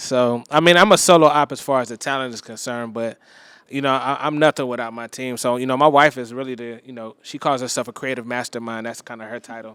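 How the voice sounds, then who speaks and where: Very fast and with big swings in loudness, a man of medium pitch speaks in an American accent with fairly even intonation. The recording is very clean, with a silent background. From Miami, Florida. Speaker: wedding DJ. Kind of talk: casual chat.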